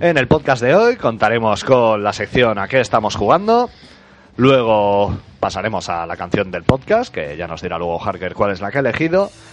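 This man talks at a moderate pace with a Spanish accent. His intonation is lively. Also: medium pitch for a man. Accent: Spanish (Spain). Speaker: podcast host. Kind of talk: casual chat.

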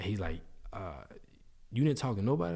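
A man speaks with an American accent in a dark, mellow tone. Room echo is audible. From New Orleans. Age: 30s. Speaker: video producer and creative entrepreneur. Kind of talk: casual interview chat.

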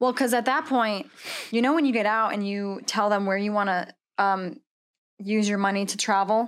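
Speaking at a moderate pace with an American accent, a woman at medium pitch uses ordinary pitch variation and leaves long, frequent pauses. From Washington State. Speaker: Marine veteran and coffee roaster. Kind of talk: casual chat.

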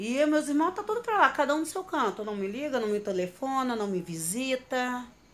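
With noticeable background noise behind her, a woman talks at a moderate pace with hardly any pauses, her high pitch sweeping through very wide swings. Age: 30s. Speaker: domestic violence survivor. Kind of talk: testimony. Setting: at her home. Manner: casual, conversational.

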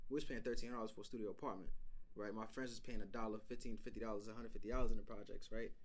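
A man speaks with a New York accent. His intonation stays fairly even. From North Carolina, then New York City. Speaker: podcast co-host. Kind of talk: casual chat.

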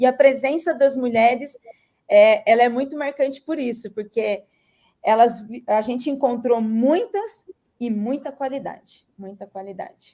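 High-pitched but dark and mellow in tone, the woman's voice shows ordinary pitch variation and big swings in loudness. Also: fairly slow pace. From Vale do Ribeira, São Paulo state, Brazil. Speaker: podcaster and advertising agency owner. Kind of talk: panel discussion.

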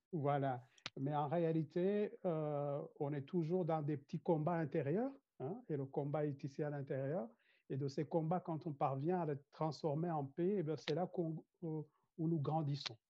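A man speaks very slowly in a Rwandan accent. His pitch is fairly high. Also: fairly even intonation. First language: Kinyarwanda (speaking French). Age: 50s. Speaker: corporate trainer and mediator. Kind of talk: interview.

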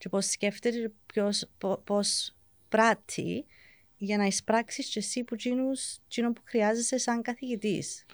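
At a fairly slow pace, a woman talks in an English accent on a very clean recording with a silent background. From England. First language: English (speaking Greek). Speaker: teacher. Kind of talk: casual chat.

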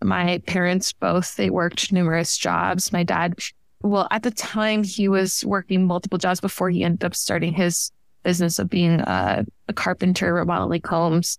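Speaking in an ordinary speaking voice, a woman with fairly low pitch keeps a moderate pace, fairly even intonation and very even loudness on a very clean recording with a silent background. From Miami, Florida (Cuban-American family). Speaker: engineering PhD student. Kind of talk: interview.

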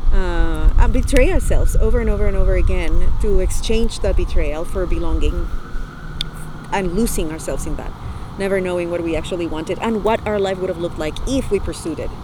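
A woman talks at a fairly quick pace, with noticeable background noise behind her. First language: not English. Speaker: author. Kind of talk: casual chat. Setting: outdoors on a park bench.

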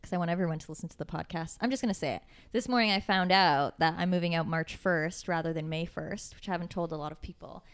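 A woman's fairly low voice at a very fast pace, on a very clean recording with a silent background. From Kitchener-Waterloo, Ontario, Canada. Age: 20s. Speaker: podcast host. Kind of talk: casual chat.

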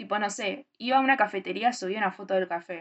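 Her pace fairly quick, a woman speaks in a medium pitch with vocal fry and fairly even intonation. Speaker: podcast co-host. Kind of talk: casual chat.

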